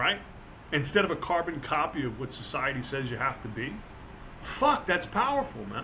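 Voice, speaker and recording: Over noticeable background noise, a man with an American accent speaks at a moderate pace in a fairly high pitch, his tone animated and his intonation lively. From New Jersey. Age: 60s. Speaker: author and motivational speaker. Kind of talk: casual chat.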